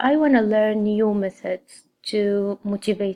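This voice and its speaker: This woman talks very slowly at a medium pitch with an Arabic accent and fairly even intonation. The recording is very clean with a silent background and a dry, close sound with no echo. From Saudi Arabia. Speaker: graduate student. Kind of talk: scripted personal statement.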